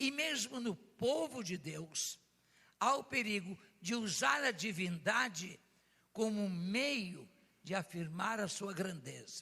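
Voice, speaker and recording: Raising and projecting his voice, a man speaks very slowly with a high pitch and a bright, sharp tone. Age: 80s+. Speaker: pastor. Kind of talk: sermon.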